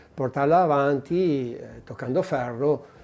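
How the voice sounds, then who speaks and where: This man has a dark, mellow tone and a fairly high pitch. He talks at a fairly slow pace. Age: 60s. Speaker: collector. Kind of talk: interview. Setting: private collection venue. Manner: halting.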